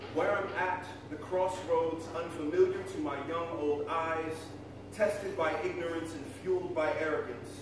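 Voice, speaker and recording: Recorded with strong room echo and noticeable background noise, a man with a high voice speaks at a moderate pace with ordinary pitch variation. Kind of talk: stage banter introducing songs. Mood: reflective, then humorous. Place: cafe.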